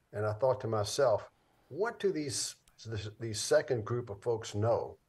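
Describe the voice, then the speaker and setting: Speech moves fairly slowly here. There is a somewhat breathy quality to the voice. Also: man. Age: 80s+. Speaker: film producer and author. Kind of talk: interview.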